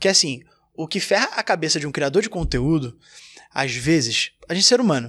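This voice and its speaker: Very clean recording with a silent background: a man's normal speaking voice, fairly high in pitch, at a moderate pace. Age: 30s. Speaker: gaming content creator. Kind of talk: casual chat.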